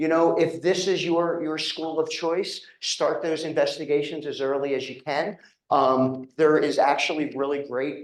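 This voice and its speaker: With a slight Philadelphia accent, a man talks at a moderate pace in a fairly high pitch. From Philadelphia, Pennsylvania. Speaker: physical therapy professor and program director. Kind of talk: informational presentation to prospective students. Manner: casual, conversational with frequent fillers.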